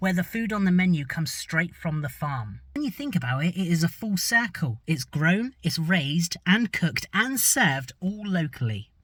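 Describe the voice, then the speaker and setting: Recorded very cleanly against a silent background, a man with an English accent speaks at a high pitch with lively intonation, hardly pausing at all. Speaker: travel and food vlogger. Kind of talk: vlog narration.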